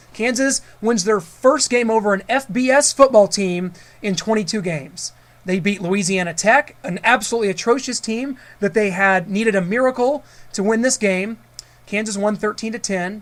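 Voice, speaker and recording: Moderate pace and ordinary pitch variation. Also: man, high pitch for a man. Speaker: radio sports show co-host. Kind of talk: sports talk radio banter.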